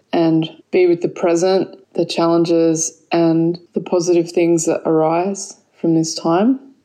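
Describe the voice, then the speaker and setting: A fairly low-pitched woman with an Australian accent, dark and mellow in tone, at a very slow pace. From Australia, Sydney. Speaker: yoga teacher and kirtan leader. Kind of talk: recorded voice message; casual interview.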